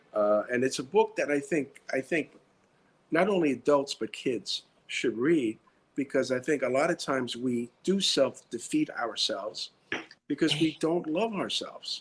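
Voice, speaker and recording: The speaker talks at a moderate pace with a New York accent. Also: man. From US Northeast, New York (South Bronx). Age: 60s. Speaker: retired security director turned writer and actor. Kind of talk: interview. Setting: live stream.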